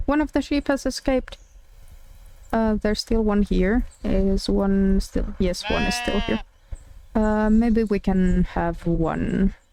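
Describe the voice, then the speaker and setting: A very slow delivery in a Finnish accent, with long, frequent pauses and noticeable background noise. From Finland. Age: 20s. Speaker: streamer. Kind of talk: casual live-stream chat while gaming. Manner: hesitant, many fillers.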